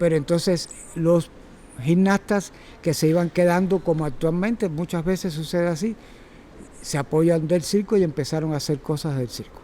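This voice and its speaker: A dark, mellow tone at a moderate pace, with fairly even intonation. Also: man, high pitch for a man. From Cuba. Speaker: circus teacher and former gymnast. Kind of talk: talk to a workshop audience. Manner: halting, with repetitions and fillers.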